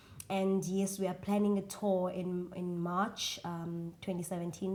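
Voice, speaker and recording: A woman speaks at a medium pitch with a South African accent. Her tone is dark and mellow. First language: isiXhosa. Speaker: singer. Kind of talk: interview. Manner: hesitant, many fillers.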